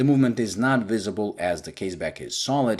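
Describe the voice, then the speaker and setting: A man speaks with a non-native accent and lively intonation. The recording is very clean, with a silent background. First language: not English. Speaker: watch reviewer. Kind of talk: product review.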